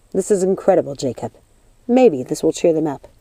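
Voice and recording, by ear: Using a put-on character voice, a woman speaks at a fairly quick pace with a low pitch, big pitch swings and a dark, mellow tone, the sound dry and close with no echo.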